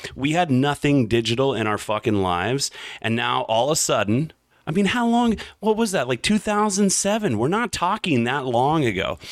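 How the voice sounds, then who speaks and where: A man's fairly high voice with very wide pitch swings and very even loudness at a moderate pace, in a very clean recording with a silent background. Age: 30s. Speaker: podcast host. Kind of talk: solo monologue podcast. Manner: casual, animated.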